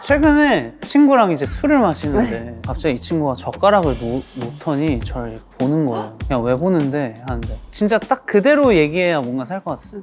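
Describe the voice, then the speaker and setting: Against music in the background, a woman speaks at a moderate pace with hardly any pauses. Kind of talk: casual, storytelling. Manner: greasy and overly smooth.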